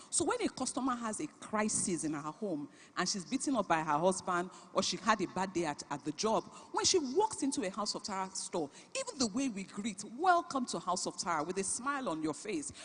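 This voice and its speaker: This woman talks at a fairly quick pace and medium pitch, her voice making very wide pitch swings. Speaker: business founder and CEO, conference speaker. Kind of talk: keynote talk.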